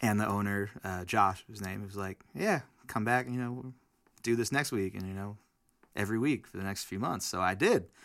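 A man with an American accent talks at a moderate pace in an ordinary speaking voice. His pitch is fairly low with ordinary pitch variation, on a very clean recording with a silent background. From New Jersey, Weehawken. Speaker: singer-songwriter. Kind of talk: casual chat. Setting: studio.

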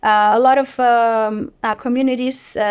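With a Portuguese accent, a woman speaks in a fairly high voice. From Brazil. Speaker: data product manager. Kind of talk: panel discussion. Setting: office.

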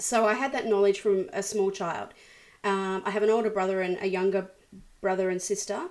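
A woman with an Australian accent and fairly even intonation. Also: medium pitch for a woman, moderate pace. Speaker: worship leader and musician. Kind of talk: interview. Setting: video call.

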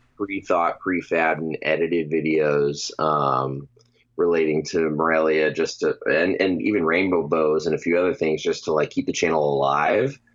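A man's very deep, low voice at a moderate pace. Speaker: podcast guest. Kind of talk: casual chat. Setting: video call.

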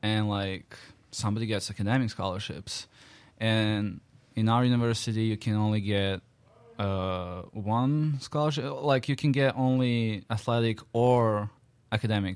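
A man's medium-pitched voice in a Serbian accent, at a moderate pace with ordinary pitch variation, in a very clean recording with a silent background. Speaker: international college student. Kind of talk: casual chat.

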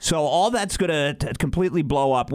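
This is an unremarkable speaking voice, a man with a fairly high pitch. He talks at a moderate pace with ordinary pitch variation. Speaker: radio host. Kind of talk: morning radio show banter. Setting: studio.

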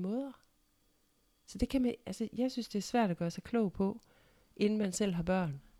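Recorded with a dry, close sound with no echo, a woman speaks at medium pitch with a dark, mellow tone and ordinary pitch variation. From Denmark, central Jutland (Ikast). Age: 60s. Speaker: mother of the host. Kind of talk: casual chat.

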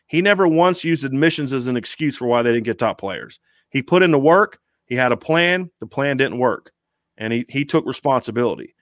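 With an American accent, a man with a fairly high voice talks at a fairly quick pace, showing ordinary pitch variation in a dry, close sound with no echo. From Ohio, Columbus. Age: 40s. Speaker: sports writer. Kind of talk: casual chat. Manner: animated.

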